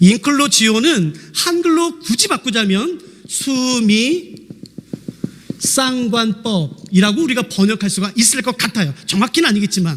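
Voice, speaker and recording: Noticeable background noise runs under a man's voice. His pitch is extremely high and swings very widely. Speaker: pastor; seminary lecturer. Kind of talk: sermon. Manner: fast.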